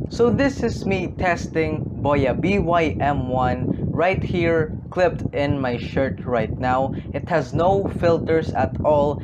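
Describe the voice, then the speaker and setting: A man talks very slowly while loud background noise fills the recording. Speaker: tech reviewer. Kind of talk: product review tutorial. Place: home room. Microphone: lapel.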